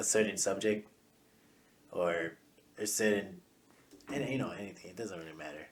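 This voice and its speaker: Soft-spoken, a man with a fairly low pitch and ordinary pitch variation talks at a moderate pace, with big swings in loudness and long, frequent pauses. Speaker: podcast host. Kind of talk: casual chat. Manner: soft-spoken, quiet; halting, repeats words.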